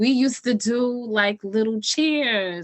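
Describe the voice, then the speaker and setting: In a New York accent, a woman speaks at a fairly high pitch with ordinary pitch variation. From New York City, South Bronx. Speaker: writer and storyteller. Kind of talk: interview conversation.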